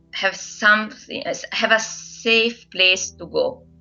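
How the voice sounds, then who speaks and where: Against noticeable background noise, a woman speaks with an Italian accent. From central Italy. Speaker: translator and online language teacher. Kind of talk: documentary interview. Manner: hesitant, many fillers.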